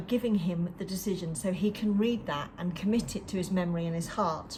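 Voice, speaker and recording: A dark, mellow tone, somewhat breathy. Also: woman. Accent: English. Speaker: book club leader and coach.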